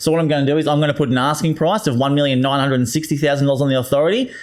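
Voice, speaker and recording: A man with an Australian accent and a fairly high-pitched voice. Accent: broad Australian twang. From Australia (Queensland). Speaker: real estate agent, former tradesman. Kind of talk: casual podcast interview. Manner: energetic, upbeat.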